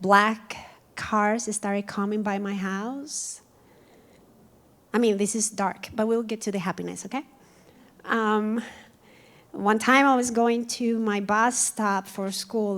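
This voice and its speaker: A woman with a Colombian accent speaks very slowly, with fairly even intonation. She leaves long, frequent pauses between phrases. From Colombia, Cali. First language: Spanish. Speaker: community speaker. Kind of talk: personal testimony talk. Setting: museum event with audience.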